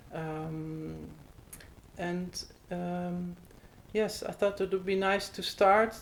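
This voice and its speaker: In a Dutch accent, a woman speaks very slowly in a monotone, flat intonation, with long, frequent pauses. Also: medium pitch for a woman. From Netherlands. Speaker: podcast host. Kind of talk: interview conversation. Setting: recorded in the Netherlands.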